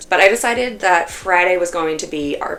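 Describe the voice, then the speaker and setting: There is noticeable background noise in this clip. A woman speaks at a fairly slow pace. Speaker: knitting vlogger. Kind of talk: casual vlog talk. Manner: chatty, filler-heavy.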